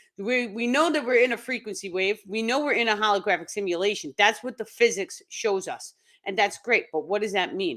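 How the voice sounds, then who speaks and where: On a very clean recording with a silent background, a woman with a New York accent talks at a fairly quick pace and fairly high pitch, with hardly any pauses. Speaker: spiritual teacher. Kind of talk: live stream talk. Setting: live stream.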